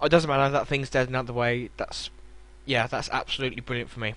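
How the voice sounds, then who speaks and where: Against a quiet background, a man with a British accent talks at a medium pitch. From Britain. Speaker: gaming YouTuber. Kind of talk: game commentary narration. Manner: hesitant with fillers.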